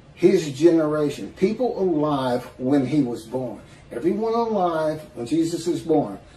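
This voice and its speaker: Speaking at a very slow pace, a man is heard with audible room echo and light background noise. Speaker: religious commentator. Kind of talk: religious commentary monologue.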